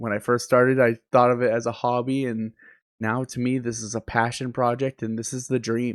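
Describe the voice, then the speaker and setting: Medium-pitched male voice in a flat monotone. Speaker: streamer. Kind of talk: personal reflection vlog. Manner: halting, self-correcting.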